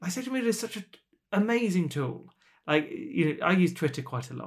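With a British accent, a man talks at a fairly quick pace in a high voice with very wide pitch swings. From Britain. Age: 40s. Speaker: author and charity director. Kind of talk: interview conversation. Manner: hesitant fillers.

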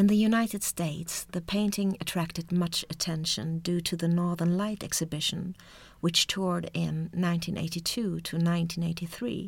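On a very clean recording with a silent background, a woman with a fairly low, somewhat breathy voice speaks at a moderate pace with fairly even intonation. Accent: Swedish. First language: Swedish. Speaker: art history lecturer, podcast co-host. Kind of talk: scripted narration. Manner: formal.

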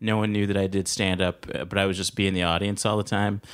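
A man with an American accent has an unremarkable speaking voice. His pitch is fairly low, and his intonation is fairly even. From Los Angeles (South Central). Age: 20s. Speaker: stand-up comedian. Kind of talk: interview.

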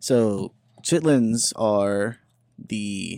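At a very slow pace, a man speaks with a fairly low pitch and a dark, mellow tone, in a dry, close sound with no echo. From Memphis, Tennessee. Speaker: college student. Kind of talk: casual chat.

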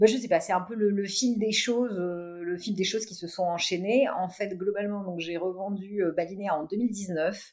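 A woman with a normal speaking voice talks at a fairly slow pace. Her intonation is fairly even. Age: 50s. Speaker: tech entrepreneur. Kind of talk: interview.

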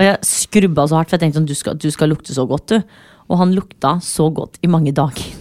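A woman speaks with a very deep, low pitch at a fairly quick pace, hardly pausing. The sound is dry and close with no echo. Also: ordinary pitch variation. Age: 20s. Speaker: podcast host. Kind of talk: casual chat.

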